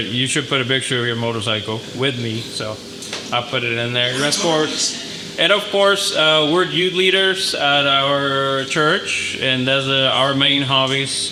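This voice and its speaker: A man talks at a moderate pace and medium pitch with a slight Mexican accent. Audible room echo and noticeable background noise fill the recording. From northern Mexico, moved to El Paso at 16. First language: Spanish. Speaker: HVAC business owner. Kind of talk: business presentation. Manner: halting, many fillers.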